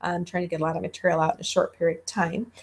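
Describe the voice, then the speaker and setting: A woman speaks in a somewhat breathy voice. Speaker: college instructor. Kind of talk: lecture. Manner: fast.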